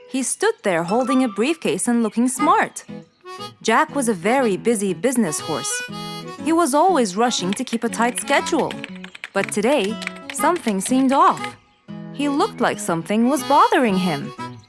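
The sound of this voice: Faint music plays behind a woman speaking at a moderate pace, her fairly high voice making big pitch swings.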